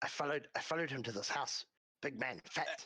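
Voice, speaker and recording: A man puts on a raspy character voice, talking at a very fast pace in a fairly high pitch. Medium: actual play. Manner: broken, clipped grammar.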